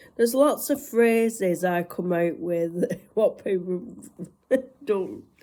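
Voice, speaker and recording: Speaking very slowly in a northwest English accent, a woman has a dark, mellow tone, medium pitch and ordinary pitch variation. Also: long, frequent pauses. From northwest England. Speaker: vlogger. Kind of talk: casual chat.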